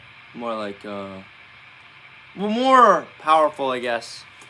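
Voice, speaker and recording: A man is speaking. Music plays in the background. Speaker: streamer and songwriter. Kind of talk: livestream chat while drafting song lyrics. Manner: halting.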